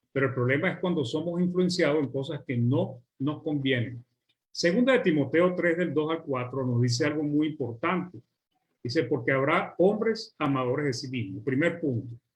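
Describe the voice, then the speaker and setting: Fairly high pitch for a man with a Venezuelan accent, somewhat breathy, fairly slow, with ordinary pitch variation. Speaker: preacher. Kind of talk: sermon.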